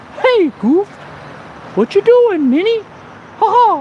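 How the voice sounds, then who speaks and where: Someone speaks in a put-on character voice at an extremely high pitch. The pace is very slow, with clear background noise. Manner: cheerful, cartoonish.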